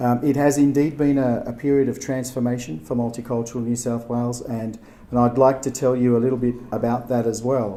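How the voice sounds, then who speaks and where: A man's medium-pitched voice with an Australian accent, a fairly quick pace, hardly any pauses, flat monotone intonation, and noticeable background noise. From Turkey, then Australia from age ten. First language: Turkish. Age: 40s. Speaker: agency chief executive, keynote speaker. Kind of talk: keynote speech. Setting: gallery event with audience. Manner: halting, many fillers.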